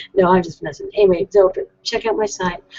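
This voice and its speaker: This is a woman with a medium pitch. She talks at a fairly quick pace. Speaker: tarot reader and web show host. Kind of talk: live call-in show monologue. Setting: live video hangout broadcast. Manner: fast; animated.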